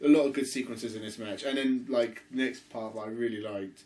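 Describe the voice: In a room with audible echo, a man talks at a moderate pace with a medium pitch and fairly even intonation.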